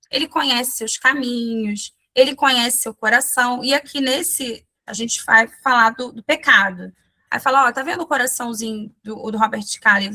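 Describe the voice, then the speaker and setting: Bright and sharp in tone, a woman's voice sits high in pitch. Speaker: missionary and children's ministry teacher. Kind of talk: online training talk. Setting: video call. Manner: halting, with false starts.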